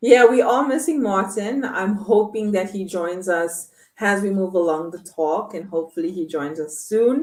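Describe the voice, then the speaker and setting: A woman speaks in a normal speaking voice at a medium pitch and a moderate pace, with lively intonation. Her loudness swings widely and she hardly pauses. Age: 30s. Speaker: online show host. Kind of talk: live online talk show. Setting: live stream with chat.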